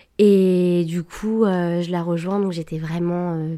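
The woman's voice is fairly low in pitch, with a dark, mellow tone. Her intonation stays monotone and flat. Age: 20s. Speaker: podcast guest sharing a love story. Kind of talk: personal testimony. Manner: hesitant, many fillers.

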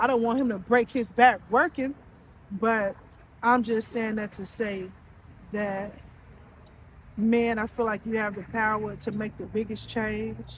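A woman talks at a fairly slow pace in a fairly high, somewhat breathy voice. Her intonation is fairly even, broken by long, frequent pauses. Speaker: podcast host. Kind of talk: solo monologue. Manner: casual, filler-heavy.

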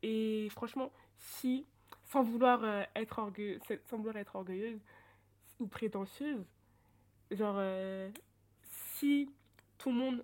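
A woman's fairly high-pitched voice. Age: 20s. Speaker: student guest sharing life with ADHD. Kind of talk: personal testimony in casual interview. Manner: animated, hesitant with many fillers.

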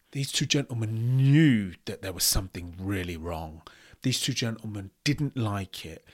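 Lively in intonation, a man with a plain, everyday voice speaks at a fairly slow pace and a fairly low pitch on a very clean recording with a silent background. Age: 30s. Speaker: podcast host reacting to videos. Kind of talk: reaction commentary.

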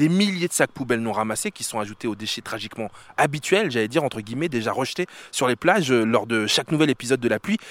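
A man with a medium pitch talks at a very fast pace with lively intonation, in a very clean recording with a silent background and a dry, close sound with no echo. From France, Paris-area suburbs (banlieue). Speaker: radio host. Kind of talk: casual chat. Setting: outdoors.

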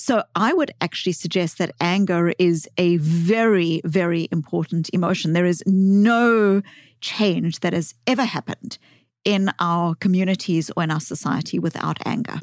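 A woman with a South African accent speaks at a very even loudness, with ordinary pitch variation. The recording is very clean, with a silent background and a dry, close sound free of echo. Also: fairly low pitch for a woman, moderate pace. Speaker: psychologist and author.

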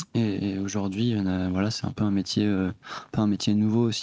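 A man talks at a fairly quick pace in a fairly low, dark, mellow tone, monotone and flat. The recording is very clean, with a silent background. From Brittany. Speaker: music producer. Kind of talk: casual chat. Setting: studio.

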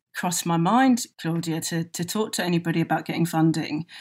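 In a very clean recording with a silent background, a woman speaks with a London accent. Her voice is fairly low and fairly quick, with ordinary pitch variation. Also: hardly any pauses. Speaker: hair care business founder. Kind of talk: interview.

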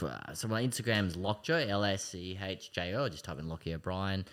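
With an Australian accent, a man speaks at a moderate pace in a bright, sharp tone. The recording is very clean, the background silent. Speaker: personal trainer and hand cyclist. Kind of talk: casual chat. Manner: hesitant with frequent ums.

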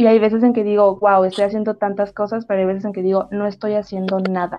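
Fairly high in pitch, a woman's voice comes across as a normal speaking voice with fairly even intonation. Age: 20s. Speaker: podcast host. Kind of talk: casual chat.

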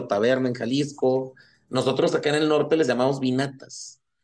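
The speaker is a man with a medium pitch. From Chihuahua, northern Mexico. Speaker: sotol educator and producer. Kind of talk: interview. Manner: hesitant, many fillers.

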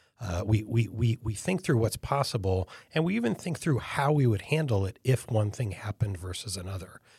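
A medium-pitched man with an American accent, somewhat breathy, at a fairly quick pace with hardly any pauses and lively intonation, in a very clean recording with a silent background. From upstate New York. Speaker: futurist and business founder. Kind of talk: casual interview.

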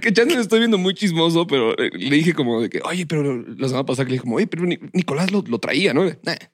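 This voice speaks with a Mexican accent and lively intonation. It races along very fast with hardly any pauses. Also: man, high pitch for a man. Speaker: podcast co-host. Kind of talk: casual chat.

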